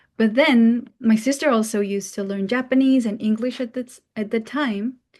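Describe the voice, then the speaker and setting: A woman with a Mongolian accent speaks at a fairly high pitch in a somewhat breathy voice. Her intonation stays fairly even against a quiet background. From Mongolia, Ulaanbaatar. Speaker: international student. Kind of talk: talk. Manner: casual, many fillers.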